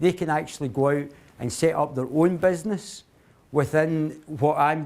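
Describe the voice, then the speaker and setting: A man with a strong Glaswegian accent talks at a moderate pace in a fairly high voice. His pitch varies in an ordinary way, and the recording is very clean with a silent background. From Scotland, Glasgow. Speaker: company CEO, guest speaker. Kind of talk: talk to a university society. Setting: speech to a student audience. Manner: hesitant, many fillers and restarts.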